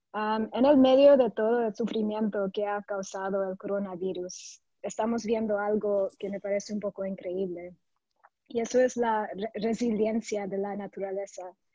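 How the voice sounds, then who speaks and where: A woman's dark, mellow voice in a non-native accent, at a moderate pace with fairly even intonation. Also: medium pitch for a woman. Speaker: conservation investment director. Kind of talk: panel presentation. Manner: somewhat halting.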